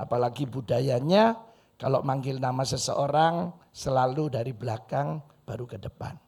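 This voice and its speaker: Speaking in a Madurese accent, a man uses lively intonation with big swings in loudness. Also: medium pitch for a man, moderate pace. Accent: Madurese accent, lasting. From Madura, Indonesia. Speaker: pastor. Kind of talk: sermon. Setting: church. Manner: animated.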